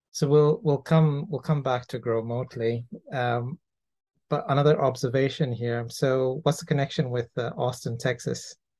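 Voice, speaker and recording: This man speaks at medium pitch and a moderate pace, his tone dark and mellow, somewhat breathy, with fairly even intonation. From Toronto, Canada. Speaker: podcast host. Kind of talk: interview.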